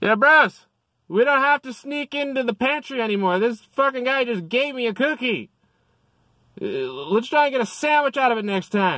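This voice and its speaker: Using a put-on character voice, a man speaks at an extremely high pitch on a very clean recording with a silent background. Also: moderate pace. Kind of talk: casual, bro-like. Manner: excited, joking.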